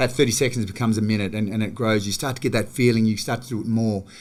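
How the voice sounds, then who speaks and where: In a very clean recording with a silent background, a man with an Australian accent speaks at a fairly quick pace and medium pitch. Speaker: gym manager and movement coach. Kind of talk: podcast interview. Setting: studio, in person. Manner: fast; animated.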